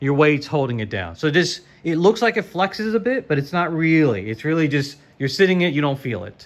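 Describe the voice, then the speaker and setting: A man speaks with fairly high pitch and very wide pitch swings. His pace is fairly quick, with hardly any pauses. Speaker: sim racing YouTuber. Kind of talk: casual product walkthrough. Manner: fast; casual, halting with fillers.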